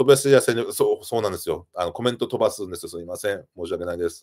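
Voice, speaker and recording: Very fast talk from a man, quiet background behind him. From Japan, Yamagata (Yonezawa); Yamagata, Japan. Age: 40s. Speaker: YouTuber, live streamer. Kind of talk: casual live stream chat reading comments. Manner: hesitant, many fillers and laughs. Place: home room.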